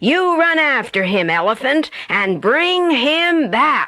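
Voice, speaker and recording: A woman puts on a character voice with a high pitch. Her pitch swings very widely. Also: fairly slow pace. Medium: read story. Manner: bossy.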